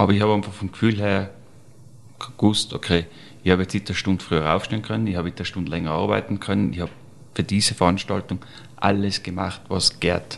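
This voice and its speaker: Here a man speaks with a very deep, low pitch. He goes at a fairly quick pace with fairly even intonation. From Austria, Tyrol (Serfaus). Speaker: chef. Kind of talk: interview.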